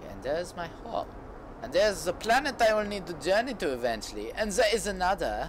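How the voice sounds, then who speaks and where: A man with an American accent, high-pitched for a man, with very wide pitch swings, big jumps in loudness, a fairly quick pace and noticeable background noise. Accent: puts on a foreign accent, apologizes for it. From United States. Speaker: gaming streamer. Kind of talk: live stream gameplay commentary. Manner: halting, repeats words.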